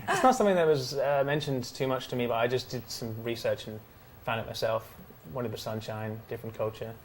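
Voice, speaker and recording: A man speaks very fast in an English accent, at a medium pitch with ordinary pitch variation. Noticeable background noise is present. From England. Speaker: student singer-songwriter. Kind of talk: interview. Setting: TV studio on location at a hotel. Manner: hesitant.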